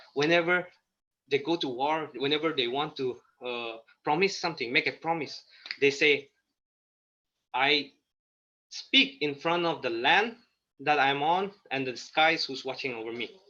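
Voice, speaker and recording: Here a man talks at a moderate pace, his fairly high pitch carrying a bright, sharp tone. Ordinary pitch variation comes with long, frequent pauses. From Nagaland, India. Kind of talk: interview. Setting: video call. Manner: halting.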